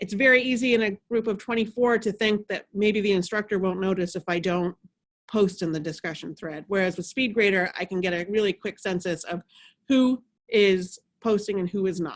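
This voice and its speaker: The recording is very clean, with a silent background and a dry, close sound with no echo. A woman talks at a fairly quick pace and medium pitch, with ordinary pitch variation. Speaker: instructional designer leading faculty workshop. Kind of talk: workshop presentation. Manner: fast.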